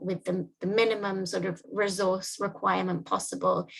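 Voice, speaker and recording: Woman's voice at a moderate pace. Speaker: workshop facilitator. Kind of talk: online presentation.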